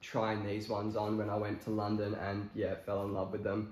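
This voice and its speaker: A man with a fairly low pitch, with audible room echo. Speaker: fashion vlogger. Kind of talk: casual talk to camera. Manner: casual, hesitant with many fillers. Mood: relaxed, easygoing. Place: home room. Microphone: camera far.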